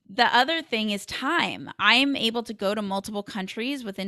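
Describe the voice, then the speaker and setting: Energetic and animated, a woman with an American accent speaks at a medium pitch and moderate pace in a bright, sharp tone on a very clean recording with a silent background. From Los Angeles, US. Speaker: tech community founder and podcaster. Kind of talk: interview conversation. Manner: energetic, animated.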